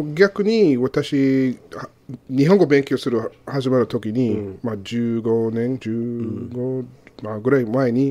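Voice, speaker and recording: Speaking very slowly, a man uses a dark, mellow tone. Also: ordinary pitch variation. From Arizona, US. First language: English (speaking Japanese). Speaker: co-host, university teacher. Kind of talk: casual educational chat. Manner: halting non-native Japanese. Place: studio.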